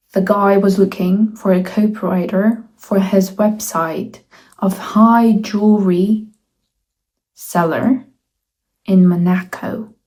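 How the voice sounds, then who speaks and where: At a very slow pace with long, frequent pauses, a woman with a Russian accent speaks at a medium pitch, somewhat breathy, her tone dark and mellow and her intonation monotone and flat. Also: very even loudness. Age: 20s. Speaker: student. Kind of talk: casual talk to camera.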